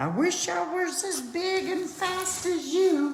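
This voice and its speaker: In a put-on character voice, the speaker sounds squeaky at an extremely high pitch and talks at a fairly slow pace. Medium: read story.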